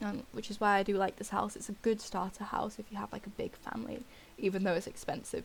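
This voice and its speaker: Speaking at a fairly quick pace, a woman at medium pitch shows vocal fry and ordinary pitch variation. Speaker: gaming video creator. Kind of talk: gameplay commentary. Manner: hesitant, many fillers.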